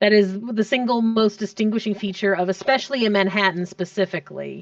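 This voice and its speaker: At a fairly quick pace, a woman with an American accent speaks in a medium pitch with fairly even intonation and very even loudness. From US Northeast, North Jersey / New York area. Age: 30s. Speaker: gamer, streamer. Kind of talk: casual chat.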